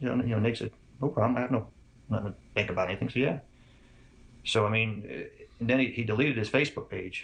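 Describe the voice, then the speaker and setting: A man with a medium pitch talks at a very fast pace, with vocal fry. His pitch variation is ordinary, and his pauses are long and frequent. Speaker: father of a murder victim. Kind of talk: interview answer.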